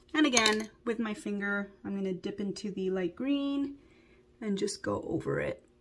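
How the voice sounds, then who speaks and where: The speech comes at a fairly slow pace in a somewhat breathy voice with ordinary pitch variation. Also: woman. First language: not English. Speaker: beauty vlogger. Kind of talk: makeup tutorial. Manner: casual, conversational.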